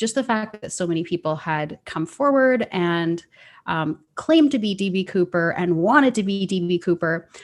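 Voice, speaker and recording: The speaker has a Canadian accent and lively intonation. The pace is moderate, and the background is quiet. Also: woman, medium pitch for a woman. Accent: Canadian, sounds a bit like Minnesota. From Canada. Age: 30s. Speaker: citizen sleuth. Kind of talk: interview conversation.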